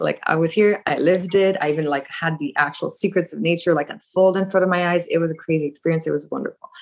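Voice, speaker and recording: A woman with an ordinary speaking voice and a fairly low pitch talks at a fairly quick pace. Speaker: course participant. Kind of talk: casual Q&A. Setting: video call.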